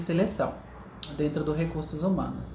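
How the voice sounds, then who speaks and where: There's a woman with a fairly low pitch. Noticeable background noise and audible room echo are present. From Pernambuco, Brazil. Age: 30s. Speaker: interviewee, HR recruiter. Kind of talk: interview testimony.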